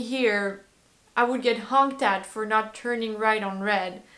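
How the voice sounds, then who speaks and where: Amid audible room echo, a woman with a French accent speaks at a fairly slow pace with ordinary pitch variation. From France. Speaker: vlogger. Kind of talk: casual talk to camera. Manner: hesitant, many fillers.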